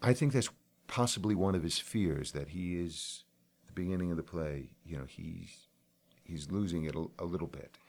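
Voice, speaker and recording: In a very deep, low pitch, a man speaks at a moderate pace with ordinary pitch variation. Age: 60s. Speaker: stage and screen actor. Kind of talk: interview.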